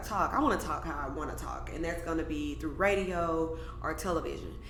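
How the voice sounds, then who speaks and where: A woman with an animated tone at a very fast pace and hardly any pauses, amid audible room echo and noticeable background noise. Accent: American. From US South, Mobile, Alabama. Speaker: vegan cafe owner. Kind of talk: interview conversation.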